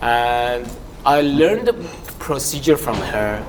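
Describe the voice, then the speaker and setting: There is noticeable background noise in this clip. A man does the talking. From abroad, not Canada. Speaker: real estate agent. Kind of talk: panel discussion.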